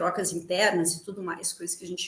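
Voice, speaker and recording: A woman's voice at medium pitch. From Rio Grande, southern Brazil. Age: 40s. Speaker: theatre actress. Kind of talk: casual interview chat. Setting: video call live stream from home.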